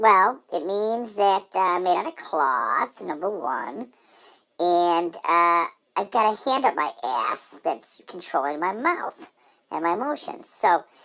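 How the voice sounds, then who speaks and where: The speaker uses a put-on character voice and delivers it at a fairly slow pace. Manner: sarcastic, caustic.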